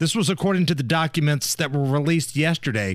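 A man with an American accent and a fairly high pitch, on a very clean recording with a silent background. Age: 40s. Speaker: radio host. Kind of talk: casual chat. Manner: animated.

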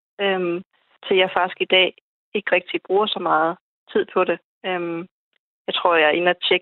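A woman's fairly low pitch comes through at a fairly slow pace. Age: 30s. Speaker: insurance worker and hobby investor. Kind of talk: radio panel discussion. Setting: phone call.

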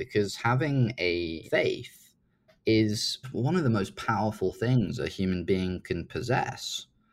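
Speaking with a British accent, a man talks at a fairly slow pace. His medium-pitched voice is somewhat breathy. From UK. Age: 20s. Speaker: startup founder. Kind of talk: interview.

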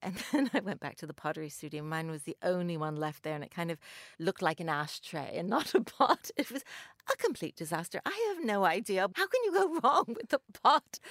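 Talking at a fairly quick pace in a medium pitch, a woman uses very wide pitch swings and big swings in loudness, captured dry and close with no echo on a very clean recording with a silent background. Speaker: magazine contributor, panelist. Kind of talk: casual chat. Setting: studio.

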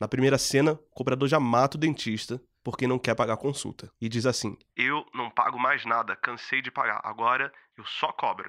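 Speaking at a moderate pace, a man has a medium pitch, fairly even intonation and a bright, sharp tone, recorded in a dry, close sound with no echo. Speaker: podcast host. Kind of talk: scripted narration.

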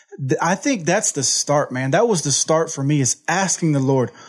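An energetic man with an American accent speaks at a fairly quick pace and a fairly high pitch. His intonation is lively, with noticeable background noise behind him. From Houston, Texas. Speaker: recovery program staff member, former addict. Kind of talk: testimony. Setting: studio.

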